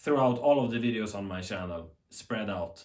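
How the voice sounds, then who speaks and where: A man with a strong Swedish accent. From Sweden. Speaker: TV tech YouTuber. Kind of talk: unscripted commentary. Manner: animated.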